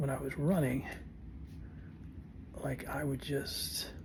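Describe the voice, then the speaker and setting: Whispering with vocal fry, a man speaks at a very slow pace. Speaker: vlogger with Parkinson's. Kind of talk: casual vlog monologue. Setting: home, early morning. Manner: halting.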